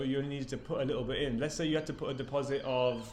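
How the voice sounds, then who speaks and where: Audible room echo surrounds a man with a British accent who talks very fast with fairly even intonation. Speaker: property business owner. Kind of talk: tutorial.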